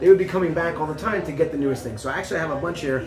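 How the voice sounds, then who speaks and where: A man speaks with ordinary pitch variation. Clear music plays in the background. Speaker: guest. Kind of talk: interview answer. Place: bar.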